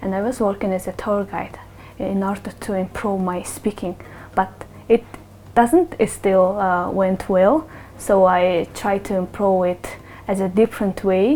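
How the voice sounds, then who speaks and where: Speaking fairly slowly in a Mongolian accent, a woman keeps her pitch medium. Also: ordinary pitch variation. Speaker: human rights activist. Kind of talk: interview answers. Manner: halting.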